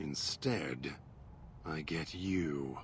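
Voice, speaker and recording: Someone performs in a put-on character voice over clear background noise. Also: man, very deep, low pitch for a man. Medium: actual play. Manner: measured, clipped, contemptuous.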